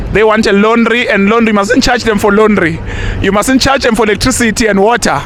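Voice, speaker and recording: At a fairly quick pace and very even loudness, the speech carries fairly even intonation, with audible room echo and noticeable background noise. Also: man, high pitch for a man. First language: Zulu. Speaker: YouTube presenter, street interviewer. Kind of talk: casual commentary to camera; street interview. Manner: repetitive, many fillers and restarts.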